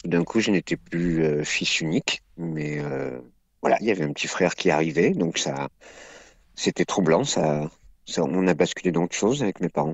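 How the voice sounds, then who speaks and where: Very deep and low in pitch, a man talks at a fairly slow pace with ordinary pitch variation and long, frequent pauses. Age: 60s. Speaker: comedian and acting teacher. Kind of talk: interview, personal testimony.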